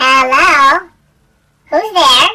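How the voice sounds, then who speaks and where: A shrill, high-pitched put-on character voice. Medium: actual play.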